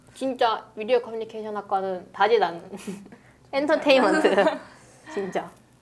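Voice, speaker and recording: A woman speaks at a moderate pace with long, frequent pauses, her fairly high voice animated and her intonation lively. Noticeable background noise runs under the recording. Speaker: recent university graduate, media communication major. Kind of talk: casual chat.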